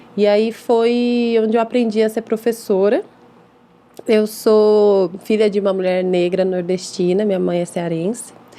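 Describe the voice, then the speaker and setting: In a plain, everyday voice, a woman speaks at a medium pitch and a fairly slow pace, her intonation fairly even. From Brazil, São Paulo city (East Zone). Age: 30s. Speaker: English teacher and school founder. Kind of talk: podcast interview.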